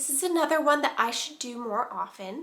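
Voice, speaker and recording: A woman speaks in a soft-spoken voice. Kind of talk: casual talk to camera. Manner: soft-spoken, calming.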